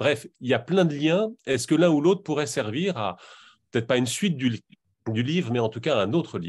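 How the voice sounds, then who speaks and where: A fairly high-pitched man at a fairly quick pace, with very wide pitch swings and a quiet background. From Normandy. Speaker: audience member. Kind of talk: audience question. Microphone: video call.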